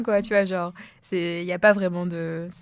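Fairly even intonation in a woman's medium-pitched voice. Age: 20s. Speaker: podcast co-host. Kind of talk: casual discussion.

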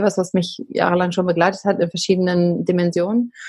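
A somewhat breathy voice at a fairly quick pace. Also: woman. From Berlin, Germany. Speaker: company founder. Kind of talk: podcast interview. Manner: conversational, many fillers.

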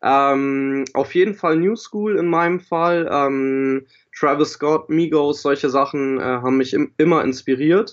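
Speaking at a very slow pace, a man keeps a fairly high pitch and very even loudness. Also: ordinary pitch variation. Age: 20s. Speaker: rapper and audio production student. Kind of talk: casual interview. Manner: hesitant, many fillers.

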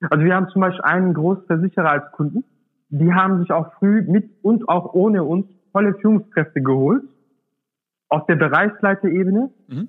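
A man speaks at a moderate pace with a high pitch. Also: ordinary pitch variation. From Swabia, southern Germany. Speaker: startup founder. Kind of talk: interview. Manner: hesitant, many fillers.

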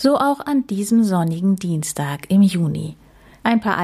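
The speaker uses a natural reading voice. The intonation is lively.

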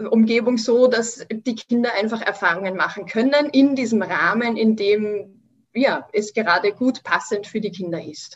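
A woman with an Austrian accent speaks at a fairly slow pace in a fairly high voice, her pitch varying in an ordinary way. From Austria, Vienna. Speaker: Montessori educator. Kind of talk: interview.

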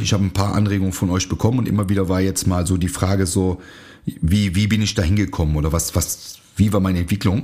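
A man talks at a fairly quick pace in a fairly low pitch with ordinary pitch variation. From Germany, near Aachen. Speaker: martial arts instructor and podcast host. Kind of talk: casual solo podcast monologue.

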